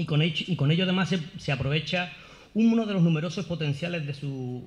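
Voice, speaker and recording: Here a man talks at a fairly quick pace in a Sevillian accent. His fairly high pitch shows ordinary variation. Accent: Seville Andalusian Spanish. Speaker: academic, course director. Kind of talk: formal opening speech. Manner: formal; hesitant, with fillers and repetitions.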